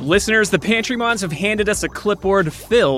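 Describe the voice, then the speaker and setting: Over noticeable background noise, a man with an American accent speaks in a high voice. His intonation is lively. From US Midwest. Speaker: podcast co-host. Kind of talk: scripted narration; casual chat.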